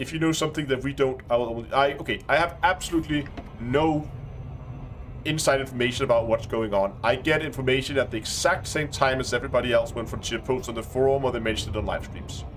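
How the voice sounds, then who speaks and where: Very fast speech in a strong Danish accent, with ordinary pitch variation, comes through noticeable background noise. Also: man, medium pitch for a man. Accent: thick Danish. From Denmark. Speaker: gaming streamer. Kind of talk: live stream commentary. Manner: halting.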